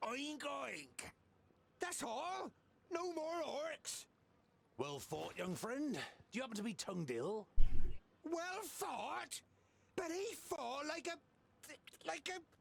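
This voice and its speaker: Using a put-on character voice, a man speaks at an extremely high pitch and a very slow pace, leaving long, frequent pauses. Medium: video game. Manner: boisterous, mocking.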